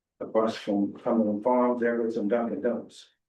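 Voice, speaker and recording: A man with a medium pitch talks, and audible room echo is heard around him. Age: 80s+. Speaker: business owner. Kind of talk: public comment at town meeting. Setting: town meeting room. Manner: shaky; reading prepared statement.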